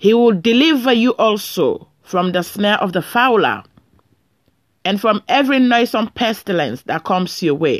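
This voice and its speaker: A woman with an ordinary speaking voice talks at a fairly high pitch and a moderate pace. Her intonation is lively. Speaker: preacher leading prayer. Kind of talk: fervent prayer and scripture reading with blessings. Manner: fervent, exclaiming 'Praise God' and 'Hallelujah'; earnest, solemn, pastoral.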